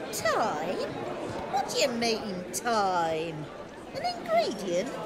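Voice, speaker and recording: Loud background noise fills the clip as a woman talks very slowly in a put-on character voice. Her pitch is fairly high. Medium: game stream.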